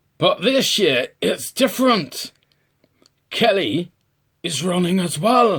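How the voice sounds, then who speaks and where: Using a raspy put-on character voice with a high pitch, a man speaks in a raised, projected voice at a fairly slow pace, with lively intonation and long, frequent pauses. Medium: read story.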